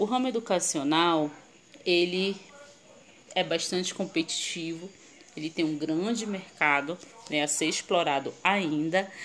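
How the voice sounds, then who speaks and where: With a fairly low pitch and ordinary pitch variation, a woman speaks at a fairly slow pace, leaving long, frequent pauses. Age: 30s. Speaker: marketing consultant and live-stream host. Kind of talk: online presentation to viewers. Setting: live stream.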